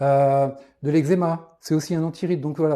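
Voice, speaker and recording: Speaking in a dark, mellow tone, a man has a fairly high pitch. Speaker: naturopath. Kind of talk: live stream talk answering viewer questions. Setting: live video stream. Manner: fast; halting with many fillers.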